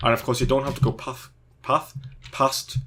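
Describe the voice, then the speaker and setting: A man with a British accent speaks in a very clean recording with a silent background. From Britain. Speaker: Minecraft YouTuber. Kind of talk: tutorial. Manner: fast; casual, filler words.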